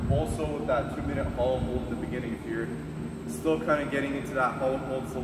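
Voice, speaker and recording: Over loud background noise and audible room echo, a man talks at a very fast pace. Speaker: fitness coach. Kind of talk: workout explanation. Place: gym. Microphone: camera far.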